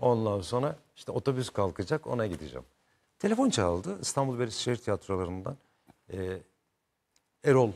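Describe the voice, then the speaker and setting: Fairly quick delivery with long, frequent pauses. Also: man. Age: 50s. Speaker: actor. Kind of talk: talk show interview. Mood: relaxed, warm, smiling. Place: studio. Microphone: lapel.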